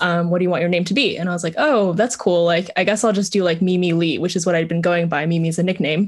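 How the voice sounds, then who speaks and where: At a very fast pace, a woman with a fairly low pitch keeps very even loudness and fairly even intonation. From Vietnam, moved to US as a child. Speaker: startup co-founder. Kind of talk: interview.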